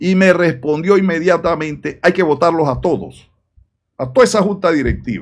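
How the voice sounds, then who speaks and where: A man talks at a moderate pace in a high voice. His pitch varies in an ordinary way over a quiet background. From Panama. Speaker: political commentator. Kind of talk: video commentary. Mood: indignant, critical.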